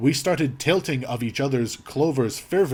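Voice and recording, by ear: A text is being read aloud. The delivery is in a natural voice.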